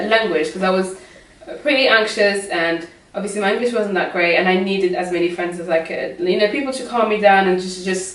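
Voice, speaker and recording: A woman's medium-pitched voice with a non-native accent, very fast, with ordinary pitch variation, audible room echo and noticeable background noise. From Morocco. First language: not English. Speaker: migrant sharing experience. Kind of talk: casual chat.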